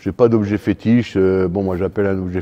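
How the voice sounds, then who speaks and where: Very deep and low, a man's voice holds monotone, flat intonation at a moderate pace. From northern France, Lille. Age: 60s. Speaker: fencing coach. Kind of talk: interview. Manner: hesitant, many fillers.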